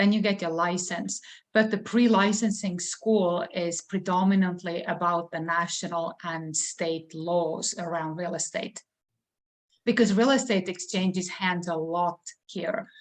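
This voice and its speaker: In an Estonian accent, a speaker talks at a fairly slow pace with fairly even intonation. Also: woman, fairly low pitch for a woman. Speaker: real estate broker and trainer. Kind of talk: interview.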